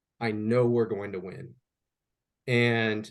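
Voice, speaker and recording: Very slow speech in an American accent. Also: man. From US Midwest. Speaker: historian. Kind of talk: podcast interview. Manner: halting.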